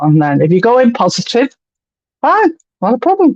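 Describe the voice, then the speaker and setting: The speaker has a Liverpool accent and keeps a moderate pace. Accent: Liverpool (Scouse). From England, Liverpool. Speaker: spiritualist medium. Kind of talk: casual chat.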